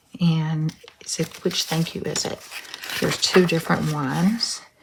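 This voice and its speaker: This woman's voice sits at a fairly low pitch. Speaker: craft tutorial host. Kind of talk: tutorial. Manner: casual, hesitant with ums.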